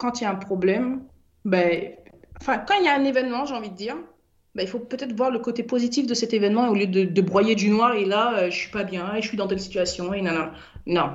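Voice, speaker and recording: With audible room echo, a woman speaks at a moderate pace and a fairly high pitch, with ordinary pitch variation. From Paris suburbs (Seine-Saint-Denis), born in French Guiana. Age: 30s. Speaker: business founder. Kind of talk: radio interview. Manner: hesitant.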